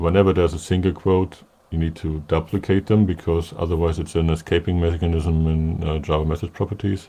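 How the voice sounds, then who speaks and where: A man speaks with a German accent in a very deep, low pitch. His tone is dark and mellow, and his intonation stays fairly even. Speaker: software developer presenting a webinar. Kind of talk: technical demo webinar.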